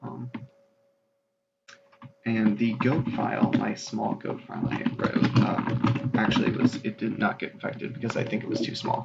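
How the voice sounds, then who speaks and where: The man talks in a whisper. His pace is fairly quick. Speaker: computer virus video host. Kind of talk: screen-capture tech demo narration. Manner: whispered.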